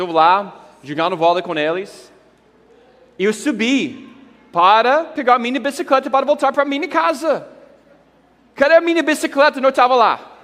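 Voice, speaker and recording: With an English accent, a man with an extremely high pitch speaks in an animated tone at a moderate pace, swinging very widely in pitch and leaving long, frequent pauses. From United States. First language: English (speaking Portuguese). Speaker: pastor. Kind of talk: conference talk.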